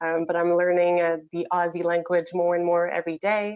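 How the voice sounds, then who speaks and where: This is a woman speaking. She has a French Canadian accent. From Quebec, Canada. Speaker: change manager. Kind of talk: webinar discussion. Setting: video call.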